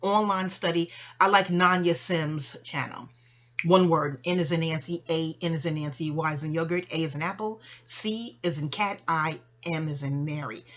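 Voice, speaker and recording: Her fairly low pitch shows ordinary variation as a woman speaks at a moderate pace. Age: 50s. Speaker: vlogger. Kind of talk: personal monologue. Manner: chatty; halting.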